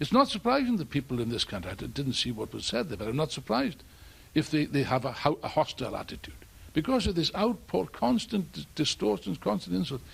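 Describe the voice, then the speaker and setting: A man's fairly high, vocal-fry voice at a very fast pace, with very wide pitch swings. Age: 70s. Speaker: political activist. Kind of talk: speech at a public event. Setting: stage with audience. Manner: animated.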